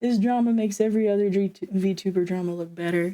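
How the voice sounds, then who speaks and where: A woman speaks in a plain, everyday voice at a medium pitch and a fairly quick pace. The sound is dry and close, with no echo. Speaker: streamer. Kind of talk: casual chat. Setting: live stream.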